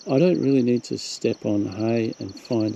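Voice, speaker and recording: A man with an Australian accent at a fairly slow pace, with noticeable background noise. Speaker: wildlife vlogger. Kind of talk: casual narration to camera. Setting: outdoors.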